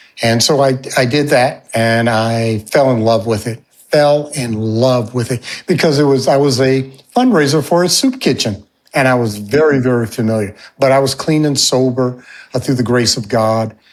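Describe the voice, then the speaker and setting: A normal speaking voice with an American accent, at a moderate pace. The intonation stays fairly even. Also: man, medium pitch for a man. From upstate New York and Alaska. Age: 60s. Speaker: fundraising consultant and mentor. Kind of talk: podcast interview, life story.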